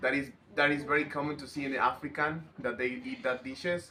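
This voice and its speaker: Using a Mexican accent, a man speaks at a moderate pace in a bright, sharp tone. His intonation stays fairly even. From Mexico, Veracruz. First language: Spanish. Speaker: interviewee. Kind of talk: interview. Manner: halting.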